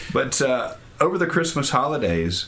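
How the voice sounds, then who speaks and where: A man's voice over noticeable background noise. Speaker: Baptist pastor and podcast host. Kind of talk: casual podcast intro banter.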